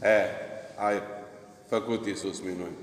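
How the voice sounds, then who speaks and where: A man's voice amid noticeable background noise and audible room echo. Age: old. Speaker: Orthodox priest. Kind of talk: sermon.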